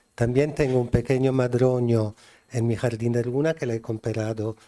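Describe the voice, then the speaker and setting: At a fairly slow pace, a man speaks in a medium-pitched, dark, mellow voice with monotone, flat intonation and a dry, close sound with no echo. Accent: Italian. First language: Italian (speaking Spanish). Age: 60s. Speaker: garden designer and writer. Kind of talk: lecture. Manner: halting.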